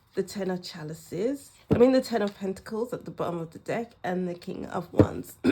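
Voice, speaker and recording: The speech moves at a moderate pace with ordinary pitch variation, and there is noticeable background noise. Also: woman. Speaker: tarot reader. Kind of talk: tarot card reading.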